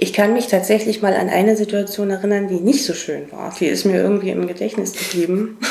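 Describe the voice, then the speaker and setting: Amid noticeable background noise and audible room echo, a woman talks at a fairly quick pace with hardly any pauses, her medium pitch held in fairly even intonation. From eastern Germany, Cottbus (Brandenburg). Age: 30s. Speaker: make-up artist. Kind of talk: interview.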